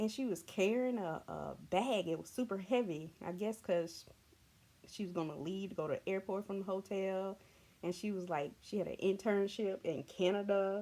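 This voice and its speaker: In a Southern US accent, a woman speaks at a moderate pace with a medium pitch. Her tone is dark and mellow, with ordinary pitch variation. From US South. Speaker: vlogger. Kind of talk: casual storytelling. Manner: animated.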